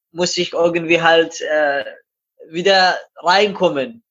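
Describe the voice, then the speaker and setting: This man has a Persian accent and a high voice. He talks at a very slow pace with flat, monotone intonation. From Iran. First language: Persian (speaking German). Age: 20s. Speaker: amateur runner and glazier. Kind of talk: interview.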